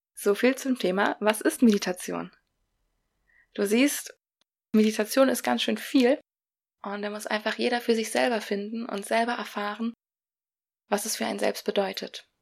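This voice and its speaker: A woman with a fairly high pitch and ordinary pitch variation speaks at a moderate pace, leaving long, frequent pauses. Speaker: podcast host. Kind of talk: solo podcast talk, explanatory with a short breathing exercise. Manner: warm, friendly, conversational.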